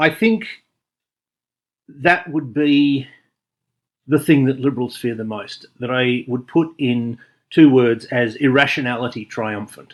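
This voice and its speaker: Speaking with an Australian accent at a fairly slow pace, a man with a medium pitch and ordinary pitch variation takes long, frequent pauses in a very clean recording with a silent background. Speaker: video essayist. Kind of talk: spoken commentary monologue.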